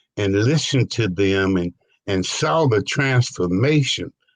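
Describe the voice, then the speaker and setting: A man speaks at a very slow pace, somewhat breathy, with very wide swings in pitch. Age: 70s. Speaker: program participant. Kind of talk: interview.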